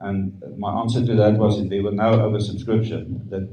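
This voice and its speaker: The man has a fairly low pitch and a dark, mellow tone that is somewhat breathy. He speaks in a monotone, flat intonation with audible room echo. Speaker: stadium management spokesperson. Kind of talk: press conference Q&A. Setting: press conference.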